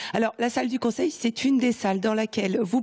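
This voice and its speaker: Against noticeable background noise, a woman speaks at a fairly high pitch with ordinary pitch variation. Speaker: TV reporter. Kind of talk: live report. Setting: on location indoors.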